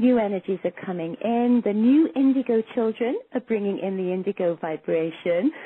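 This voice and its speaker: Speaking with an English accent, a woman at medium pitch keeps her intonation lively and hardly pauses at all. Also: moderate pace. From England. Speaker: psychic and intuition teacher. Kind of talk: interview.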